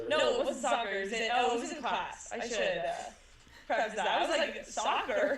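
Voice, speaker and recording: A woman with an American accent talks at a fairly quick pace, with audible room echo and noticeable background noise. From California (San Diego). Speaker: runner and triathlete. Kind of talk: casual interview.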